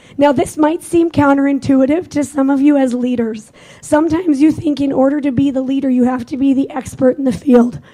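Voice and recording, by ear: A dark, mellow tone at a fairly quick pace, with fairly even intonation and few pauses. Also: woman, high pitch for a woman.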